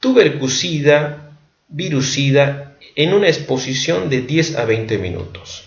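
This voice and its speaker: A man with a fairly high pitch talks at a very slow pace. The room echo is audible. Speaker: medical education youtuber. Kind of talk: lecture. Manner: halting.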